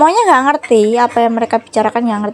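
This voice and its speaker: Amid noticeable background noise, a woman speaks in a high pitch with a strong Javanese accent. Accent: strong Javanese accent in Indonesian. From Java, Indonesia. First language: Javanese (speaking Indonesian). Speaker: home cooking vlogger. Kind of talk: casual cooking vlog chat.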